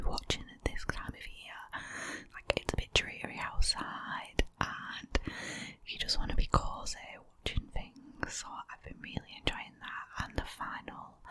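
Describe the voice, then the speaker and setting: Behind her, background noise is noticeable. The woman keeps her whisper at a moderate pace. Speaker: ASMR creator. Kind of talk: casual talk to camera, ASMR favourites chat. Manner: soft-spoken, whispered, friendly.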